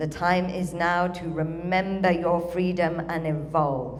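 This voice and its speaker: Audible room echo and noticeable background noise surround the recording. A woman speaks with a fairly low pitch. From UK. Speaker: spiritual channeler, event speaker. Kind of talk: ceremony speech, channeled address. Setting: stage with audience.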